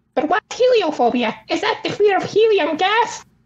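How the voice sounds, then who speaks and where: An extremely high, squeaky put-on character voice moving at a moderate pace. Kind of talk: comedic podcast host. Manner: silly, exaggerated, joking.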